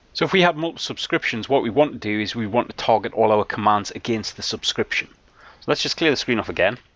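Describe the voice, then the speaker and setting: A man speaks at a very fast pace with a British accent and lively intonation. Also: medium pitch for a man. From UK. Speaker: IT trainer. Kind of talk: tutorial.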